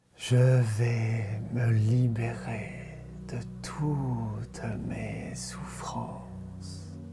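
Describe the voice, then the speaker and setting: Over music in the background, a soft-spoken man talks very slowly in a gentle, soothing tone. His pitch is very deep and low, yet it swings very widely. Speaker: meditation guide. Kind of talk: positive affirmations read. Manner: soft, gentle, soothing.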